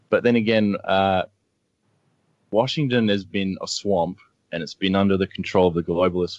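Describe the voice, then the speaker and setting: Speaking with an Australian accent at a moderate pace, a man keeps a fairly even intonation, with a dry, close sound with no echo and a quiet background. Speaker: blogger and media analyst. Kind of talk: radio interview.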